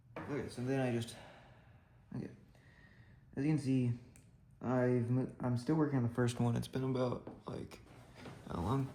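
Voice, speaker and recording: A man talks quietly at a medium pitch, his tone dark and mellow. His intonation is monotone and flat. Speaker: hobbyist miniature builder. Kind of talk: casual build commentary. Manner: quiet, hushed; halting, many fillers.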